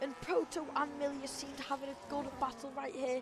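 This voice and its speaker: There is noticeable background noise. Through it, a woman speaks in a high pitch. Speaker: sim racing league commentator. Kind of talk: live commentary. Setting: live stream.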